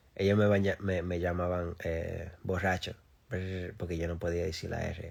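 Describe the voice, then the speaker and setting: This man speaks at a fairly quick pace. His pitch is very deep and low. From Latin American heritage. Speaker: livestreamer. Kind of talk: casual livestream chat. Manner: animated.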